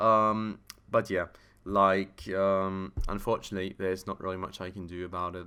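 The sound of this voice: A man speaks at a low pitch and moderate pace in a clear, smooth, yet bright and sharp tone, his intonation monotone and flat.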